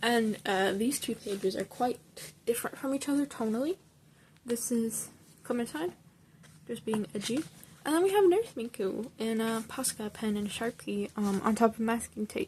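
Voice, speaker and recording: Speaking at a moderate pace, a woman uses an unremarkable speaking voice, fairly high in pitch with ordinary pitch variation. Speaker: hobby artist showing sketchbook. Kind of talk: casual show-and-tell.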